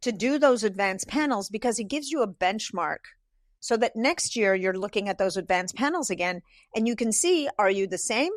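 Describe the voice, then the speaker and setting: The recording is very clean, with a silent background and a dry, close sound with no echo. A woman with an ordinary speaking voice talks at a moderate pace in a fairly high pitch. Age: 60s. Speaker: holistic nutritionist. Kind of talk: casual chat.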